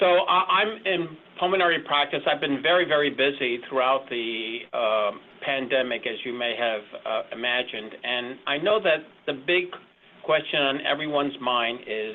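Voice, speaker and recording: A man with a fairly high pitch talks at a moderate pace with lively intonation over noticeable background noise. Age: 60s. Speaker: pulmonologist. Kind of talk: medical presentation. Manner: halting.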